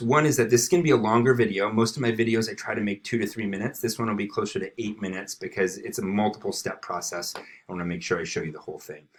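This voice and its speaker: Very fast speech from a man at a medium pitch, with lively intonation. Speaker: district education technology trainer. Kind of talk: tutorial. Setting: screencast recording.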